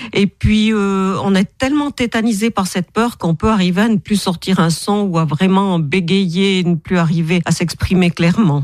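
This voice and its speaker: With an ordinary speaking voice, a woman talks at a moderate pace and medium pitch with ordinary pitch variation, hardly any pauses and very even loudness, in a dry, close sound with no echo. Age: 60s. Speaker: author and therapist. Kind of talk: radio interview.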